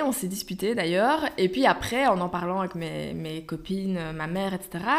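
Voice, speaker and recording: A woman with an ordinary speaking voice talks at a moderate pace, medium in pitch and with ordinary pitch variation. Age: 20s. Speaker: online magazine founder. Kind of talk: casual chat.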